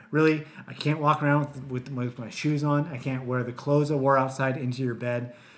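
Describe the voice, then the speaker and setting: Against noticeable background noise, a man speaks in a playful tone at medium pitch and a fairly quick pace, with monotone, flat intonation and hardly any pauses. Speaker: podcast host. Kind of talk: casual chat. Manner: joking, playful.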